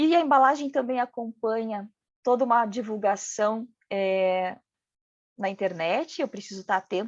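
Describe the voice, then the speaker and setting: A woman with a fairly high pitch and ordinary pitch variation speaks at a moderate pace, in a dry, close sound with no echo against a quiet background. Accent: regional Brazilian. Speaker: packaging design speaker. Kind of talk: lecture.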